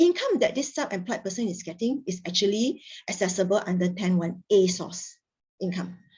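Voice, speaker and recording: A somewhat breathy woman talks at a moderate pace with ordinary pitch variation. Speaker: tax trainer. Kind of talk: lecture.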